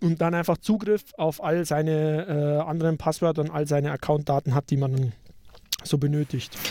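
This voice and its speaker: A man with a Bavarian accent at a moderate pace, in a dry, close sound with no echo. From Upper Bavaria, Germany. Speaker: podcast co-host. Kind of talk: casual tech discussion.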